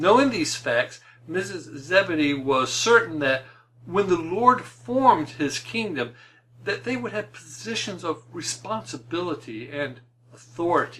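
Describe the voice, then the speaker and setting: Speaking at a fairly slow pace, the man has a high pitch and very wide pitch swings. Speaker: preacher. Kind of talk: sermon.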